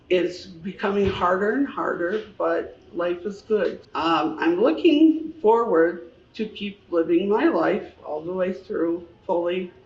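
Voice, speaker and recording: The pace is very slow, with hardly any pauses. Background noise is noticeable throughout. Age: 70s. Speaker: lipodystrophy patient. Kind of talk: testimony.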